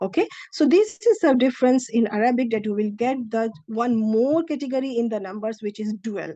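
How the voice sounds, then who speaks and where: A woman speaks with a Pakistani accent at a fairly high pitch. Her tone is dark and mellow. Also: quiet background. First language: Urdu. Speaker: Arabic language teacher. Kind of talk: lecture. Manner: halting.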